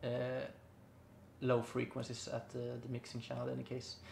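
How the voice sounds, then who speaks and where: A somewhat breathy man's voice at a medium pitch. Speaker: music producer. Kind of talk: tutorial. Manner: halting, many fillers.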